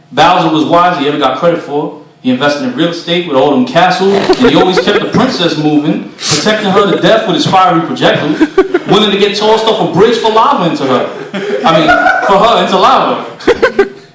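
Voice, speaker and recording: Over noticeable background noise, a man talks at a fairly quick pace with hardly any pauses, his high-pitched voice moving with lively intonation. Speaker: spoken word poet. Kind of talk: live spoken word poetry performance. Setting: live venue, performing for an audience.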